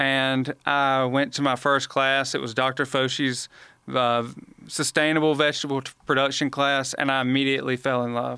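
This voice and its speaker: This man has a Southern US accent, a medium pitch and a bright, sharp tone, speaking at a moderate pace. His intonation is monotone and flat, and the recording is very clean with a silent background. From Alabama, Montgomery. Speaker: extension specialist podcast co-host. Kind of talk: casual chat.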